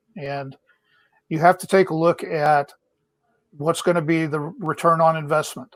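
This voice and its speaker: Using a normal speaking voice, a man talks fairly slowly at a fairly high pitch with fairly even intonation. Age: 60s. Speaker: small business advisor, navy veteran. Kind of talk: casual chat. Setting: video call from home.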